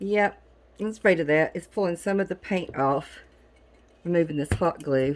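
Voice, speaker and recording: The speaker has an American accent and a moderate pace. Pauses are long and frequent, and pitch varies in an ordinary way. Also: woman. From Southern United States. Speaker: DIY crafter. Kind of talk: casual talk to camera.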